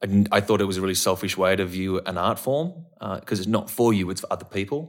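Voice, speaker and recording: At a fairly quick pace, a man with a fairly low pitch speaks in an Australian accent. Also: very clean recording, silent background. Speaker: actor. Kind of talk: casual chat. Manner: animated.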